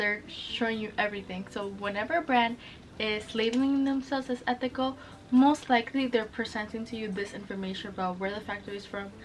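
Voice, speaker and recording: Music plays in the background as a woman speaks with a Spanish accent. Her pitch is fairly high and her pace fairly quick. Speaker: sustainable fashion vlogger. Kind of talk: casual explainer vlog. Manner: casual, chatty; eating while talking.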